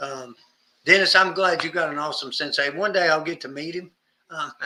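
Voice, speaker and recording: A man with a high pitch and a Southern accent, fairly quick in pace, fairly even in intonation, with big swings in loudness. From US South. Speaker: martial arts instructor. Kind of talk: casual instructional chat.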